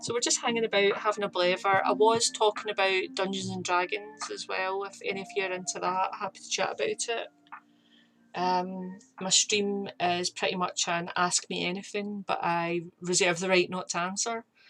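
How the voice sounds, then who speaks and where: A woman speaks with a Scottish accent at medium pitch. Her pace is moderate and her intonation fairly even. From Scotland, near Glasgow. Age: 30s. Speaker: streamer and artist. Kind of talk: casual chat. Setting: live stream with chat.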